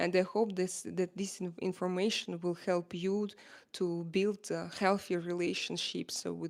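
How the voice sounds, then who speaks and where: A woman speaks fairly slowly with an Eastern European accent. Her fairly low voice stays monotone and flat. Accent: Slavic. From Slavic. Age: 40s. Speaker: live streamer. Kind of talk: casual livestream talk to viewers. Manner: hesitant, many fillers.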